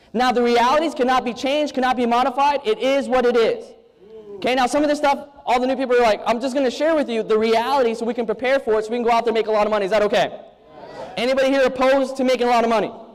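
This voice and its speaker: Over noticeable background noise, a man speaks very fast in an animated tone at an extremely high pitch. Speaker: network marketing speaker. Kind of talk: motivational seminar talk.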